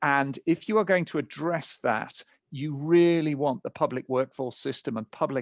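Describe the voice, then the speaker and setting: Here a man speaks with a British accent at a moderate pace. His pitch varies in an ordinary way, and the sound is dry and close with no echo. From England. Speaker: nonprofit founder and speaker. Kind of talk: webinar presentation.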